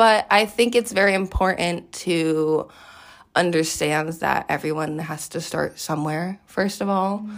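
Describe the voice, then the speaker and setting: On a very clean recording with a silent background, a woman with a fairly low pitch speaks in an unremarkable speaking voice with ordinary pitch variation. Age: 20s. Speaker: personal trainer. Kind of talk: casual chat.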